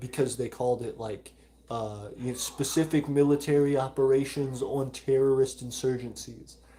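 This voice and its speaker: A man of medium pitch at a moderate pace, with a Southern US accent. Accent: mild Southern. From US South, Alabama. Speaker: micronation livestream host. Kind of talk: live stream chat reading. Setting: live stream.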